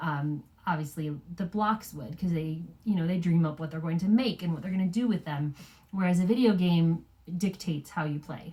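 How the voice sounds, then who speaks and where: Speaking fairly quickly, a woman has an unremarkable speaking voice, fairly low in pitch with ordinary pitch variation. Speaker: parenting podcast co-host. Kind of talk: casual chat.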